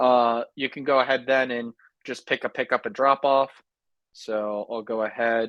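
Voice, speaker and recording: Talking at a moderate pace, a man with an unremarkable speaking voice keeps his medium pitch in fairly even intonation. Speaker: software sales representative. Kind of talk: sales pitch.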